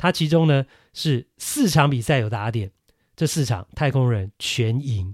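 Lively in intonation, a man talks at a medium pitch and a fairly slow pace. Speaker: baseball podcast host. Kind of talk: solo podcast commentary. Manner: conversational with many fillers.

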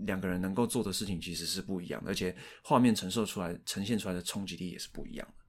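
At a very fast pace, a man with a Taiwanese accent and a fairly low pitch talks in a very clean recording over a silent background. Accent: Taiwanese Mandarin. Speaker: podcast co-host discussing films. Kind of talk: casual chat.

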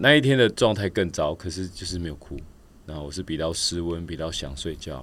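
Fairly quick delivery with lively intonation, big shifts in loudness and vocal fry. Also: man, very deep, low pitch for a man. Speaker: professional triathlete and coach. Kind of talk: casual interview.

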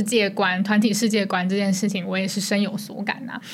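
A woman in a Taiwanese accent speaks at a medium pitch, with audible room echo and noticeable background noise. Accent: Taiwanese Mandarin. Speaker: podcast co-host. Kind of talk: casual chat.

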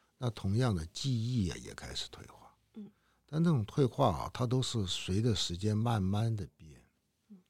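A man talks at a moderate pace in a medium, somewhat breathy voice. His intonation is lively, with big swings in loudness. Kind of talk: interview.

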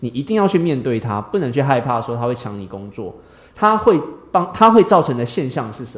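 A man with a Taiwanese accent speaks at a fairly quick pace and medium pitch, with very wide pitch swings and big swings in loudness. Noticeable background noise is present. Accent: Taiwanese Mandarin. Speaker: engineer and teacher. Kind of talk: interview.

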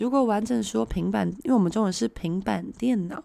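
Speaking at a fairly slow pace, a woman with a medium pitch and a dark, mellow tone makes very wide pitch swings. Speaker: Korean language teacher. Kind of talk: live-stream language lesson. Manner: hesitant with many fillers.

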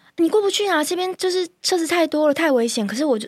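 A woman is speaking. Her pitch swings very widely. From Taiwan, Kaohsiung. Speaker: corporate lawyer and yoga teacher. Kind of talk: guided yoga closing; casual interview chat.

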